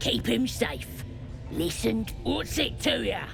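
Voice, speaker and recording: The speaker performs a put-on character voice at a fairly slow pace. Loud background noise fills the recording. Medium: machinima. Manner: rough, slangy.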